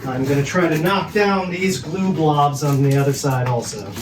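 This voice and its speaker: A man speaks at a fairly high pitch and moderate pace with ordinary pitch variation. There is noticeable background noise and audible room echo. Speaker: woodworking video maker. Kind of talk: casual build tutorial.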